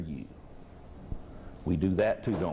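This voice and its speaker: With vocal fry and a dark, mellow tone, a man speaks at a moderate pace amid audible room echo. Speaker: preacher. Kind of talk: sermon. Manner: conversational, rhetorical questions to audience.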